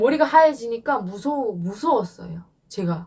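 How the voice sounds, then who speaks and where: Her pace moderate, a woman speaks with very wide pitch swings. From North Korea. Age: 20s. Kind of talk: interview answer.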